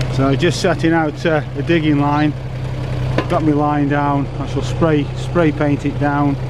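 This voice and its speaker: A man speaks at a fairly slow pace in a dry sound with no echo, with noticeable background noise behind him. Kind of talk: casual vlog chat. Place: street. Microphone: phone near.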